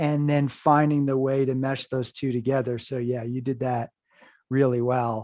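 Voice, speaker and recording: A man with a fairly high pitch speaks at a moderate pace in a normal speaking voice, with ordinary pitch variation, an American accent and a quiet background. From US Northeast, Hudson River Valley, New York. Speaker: horror podcast host and writer. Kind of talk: casual interview chat.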